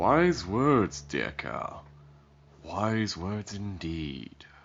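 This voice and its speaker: A man speaks at a very slow pace in a put-on character voice, his pitch very deep and low. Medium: audio drama. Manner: arrogant, contemptuous.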